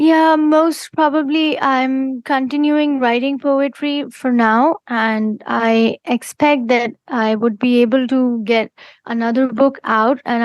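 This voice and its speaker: This woman has an Indian accent and a high pitch. She speaks at a fairly slow pace with hardly any pauses over a quiet background. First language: Hindi. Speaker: poet. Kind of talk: interview. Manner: halting, with frequent fillers.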